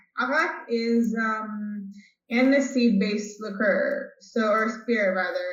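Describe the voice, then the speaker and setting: Speaking with an American accent, a woman uses a fairly high pitch and ordinary pitch variation, with audible room echo. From California, Bay Area. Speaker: chef and cookbook author. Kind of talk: interview. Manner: casual, filler-heavy.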